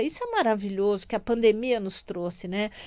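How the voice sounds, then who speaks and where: This woman uses a normal speaking voice at a moderate pace, pitched fairly high with ordinary pitch variation. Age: 60s. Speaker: radio host and physician. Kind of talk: radio talk. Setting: radio studio.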